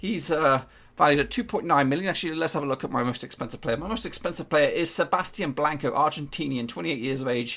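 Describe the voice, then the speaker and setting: A man with an English accent speaks at a very fast pace, his fairly high pitch showing ordinary variation. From England. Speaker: gaming YouTuber. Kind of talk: video game commentary. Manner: casual, hesitant with fillers.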